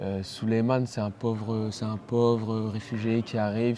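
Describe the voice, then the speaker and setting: A man speaks with a dark, mellow tone and a fairly low pitch. His intonation is monotone and flat. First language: Pulaar (speaking French). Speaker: actor. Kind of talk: interview. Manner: halting.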